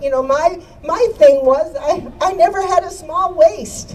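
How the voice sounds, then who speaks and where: Through noticeable background noise, a woman speaks at a moderate pace and high pitch. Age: 80s+. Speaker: activist and radio host. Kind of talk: rally speech. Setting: outdoor rally with crowd. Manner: animated.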